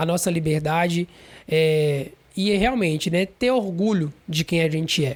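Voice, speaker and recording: The delivery is rather unhurried. Its pitch varies an ordinary amount. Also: man. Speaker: podcast host. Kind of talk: casual monologue. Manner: hesitant, many fillers.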